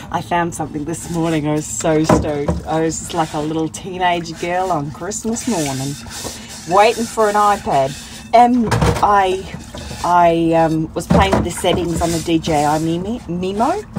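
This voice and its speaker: The speaker talks at a fairly slow pace with ordinary pitch variation. Loud background noise fills the recording. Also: woman. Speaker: solo van traveller vlogger. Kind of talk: casual vlog chat. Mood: amused, laughing often. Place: car. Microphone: phone near.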